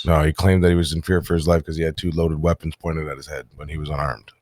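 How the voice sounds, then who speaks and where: A raspy, put-on character voice from a man, very deep and low, monotone and flat, very fast, with big swings in loudness and a dry, close sound with no echo. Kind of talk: mock courtroom speech. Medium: game stream. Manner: brisk, authoritative.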